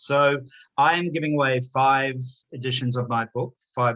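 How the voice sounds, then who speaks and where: Medium-pitched male voice with a New Zealand accent, bright, sharp tone, ordinary pitch variation and a fairly slow pace. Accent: New Zealand twang. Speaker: author and chartered accountant. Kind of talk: interview. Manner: hesitant, many fillers.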